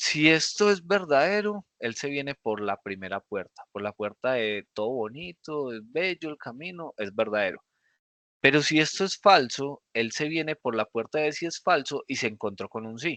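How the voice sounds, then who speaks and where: With lively intonation and a bright, sharp tone, a man speaks at a moderate pace in a fairly high pitch. The recording has a quiet background and a dry, close sound with no echo. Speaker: programming teacher. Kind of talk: lecture. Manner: animated.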